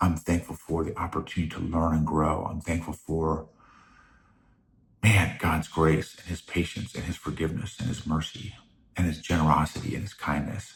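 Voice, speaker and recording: Soft-spoken and somewhat breathy, a man talks at a moderate pace in a very deep, low voice with fairly even intonation. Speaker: podcast host. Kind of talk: casual monologue. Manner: halting.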